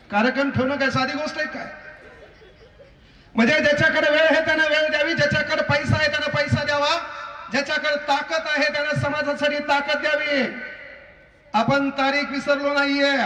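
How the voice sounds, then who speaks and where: An energetic man speaks in a raised, projected voice with an extremely high pitch. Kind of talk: public speech at a rally. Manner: humorous, energetic.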